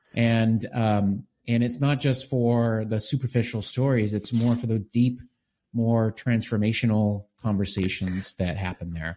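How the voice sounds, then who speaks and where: With an American accent, a man speaks in a dark, mellow tone at a fairly slow pace and with fairly even intonation. The recording is very clean, with a silent background. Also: medium pitch for a man. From US Northeast, Boston suburbs. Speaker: author and leadership coach. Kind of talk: interview.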